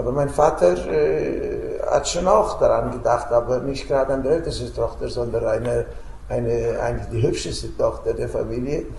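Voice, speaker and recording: A man speaks at a moderate pace. There is light background noise and audible room echo. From Romania. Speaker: peace activist, Holocaust survivor. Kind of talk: storytelling to school students. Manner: hesitant, many filler sounds. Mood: warm, reflective storytelling. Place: home room.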